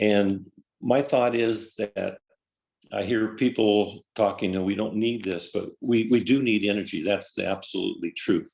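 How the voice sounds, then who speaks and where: This man speaks fairly slowly in an American accent, at a medium pitch. His intonation stays fairly even. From Colorado. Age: 60s. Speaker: farmer, public commenter. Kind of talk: public comment testimony. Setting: virtual meeting. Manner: halting, with fillers.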